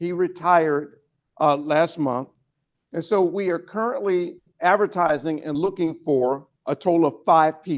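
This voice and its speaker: Speaking at a moderate pace, a man uses an ordinary speaking voice, fairly high in pitch with ordinary pitch variation. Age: 60s. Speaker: interim police chief. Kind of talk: briefing to legislators. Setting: state house lounge, lunch meeting.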